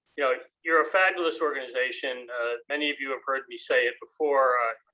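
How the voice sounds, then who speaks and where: The voice carries an American accent. Its tone is bright and sharp. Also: man. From New Jersey, US. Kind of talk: acceptance speech. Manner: halting, many fillers.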